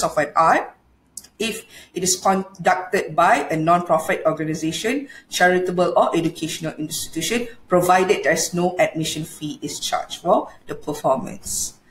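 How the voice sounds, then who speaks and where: Speaking with a Malaysian accent, a woman sounds somewhat breathy at a moderate pace with ordinary pitch variation, amid audible room echo and light background noise. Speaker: law lecturer. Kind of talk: lecture. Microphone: webcam.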